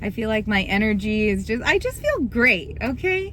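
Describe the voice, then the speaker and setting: A woman speaks loudly. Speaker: vlogger and bartender. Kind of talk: casual vlog talk. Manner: animated.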